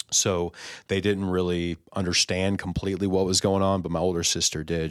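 On a very clean recording with a silent background, a man with an American accent speaks at a moderate pace in a very deep, low pitch with monotone, flat intonation. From Texas, Houston area. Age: 30s. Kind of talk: testimony in casual podcast chat. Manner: halting, many fillers.

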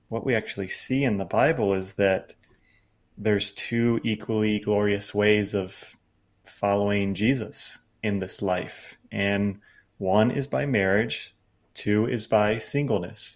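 A normal speaking voice from a man with fairly low pitch, fairly slow pace and ordinary pitch variation, on a very clean recording with a silent background. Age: 30s. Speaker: author and speaker. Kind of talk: podcast interview.

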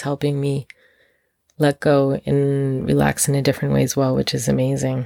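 The sound is close and dry, without any echo. A woman speaks fairly quickly. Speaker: podcast host. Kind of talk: solo monologue podcast.

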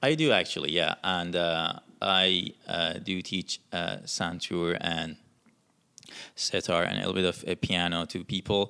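A man with an Iranian accent speaks in a very deep, low voice. His pace is fairly slow and his intonation fairly even. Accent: Persian (Iranian). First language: Persian. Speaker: musician. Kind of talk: interview. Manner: halting.

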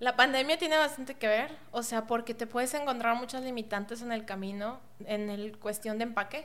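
Fairly quick speech from a woman with a fairly high pitch and ordinary pitch variation, amid noticeable background noise. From Mexico, Monterrey. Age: 20s. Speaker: entrepreneur, online store founder. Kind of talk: podcast interview.

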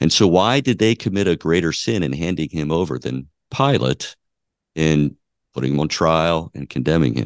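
Vocal fry marks a man's very deep, low pitch at a moderate pace. The sound is dry and close with no echo, and the background is quiet. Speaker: co-host. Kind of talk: theological discussion.

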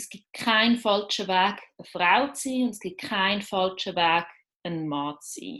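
A woman with a medium-pitched voice and a bright, sharp tone speaks at a fairly slow pace, with lively intonation and big swings in loudness. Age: 30s. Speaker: LGBT activist and journalist. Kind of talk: interview.

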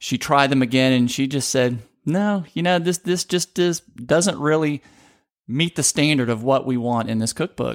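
With a slight Southern US accent, a man talks at a moderate pace and a fairly high pitch with ordinary pitch variation, on a very clean recording with a silent background and a dry, close sound with no echo. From Baton Rouge, Louisiana. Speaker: podcast host. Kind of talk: casual chat with co-host.

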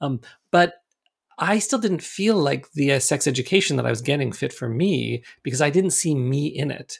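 On a very clean recording with a silent background, a man with a Canadian accent speaks fairly quickly in a fairly high pitch with vocal fry and lively intonation. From Canada, Toronto. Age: 50s. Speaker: sex educator and author. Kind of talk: interview conversation.

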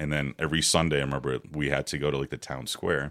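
A man's very deep, low voice with vocal fry, in an American accent at a very fast pace. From Ukraine (Odessa), raised from age 10 in Ohio. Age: 40s. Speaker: podcast guest. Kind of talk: casual chat. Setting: studio.

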